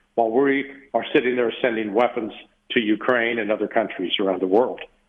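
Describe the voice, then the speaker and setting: The speaker is a man at a moderate speed. His pitch shows ordinary variation. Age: 60s. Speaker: retired intelligence analyst. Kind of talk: interview. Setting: radio interview. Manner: halting, many fillers.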